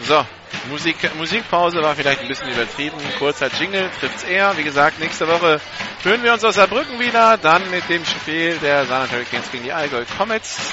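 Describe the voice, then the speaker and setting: Over noticeable background noise, a man with a high pitch and lively intonation speaks at a fairly quick pace. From northern Germany. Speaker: play-by-play radio commentator. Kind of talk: live sports commentary.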